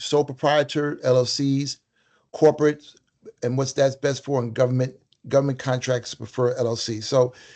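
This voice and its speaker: The man's pitch sits in the medium range. He speaks with fairly even intonation. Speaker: workshop presenter. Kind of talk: virtual workshop presentation. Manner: fast; many fillers and false starts.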